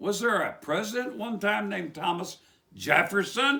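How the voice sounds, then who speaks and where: Raising and projecting his voice, a man with an Appalachian accent speaks at a high pitch and a moderate pace. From West Virginia. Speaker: preacher. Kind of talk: religious commentary monologue. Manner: animated.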